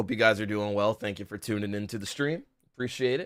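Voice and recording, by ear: Using a put-on character voice, a man speaks very fast in a raspy, fairly low voice with ordinary pitch variation.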